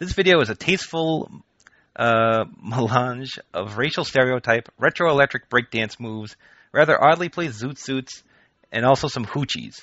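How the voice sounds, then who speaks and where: Pitch varies in an ordinary way in a plain, everyday voice. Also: man, medium pitch for a man, moderate pace. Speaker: podcast host. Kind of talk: casual chat.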